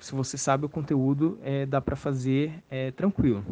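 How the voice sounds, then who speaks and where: Against a quiet background, a man speaks at a moderate pace with a fairly high pitch. His tone is dark and mellow. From Bahia sertão, then São Paulo region, Brazil. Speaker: medical student. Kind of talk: recorded testimony.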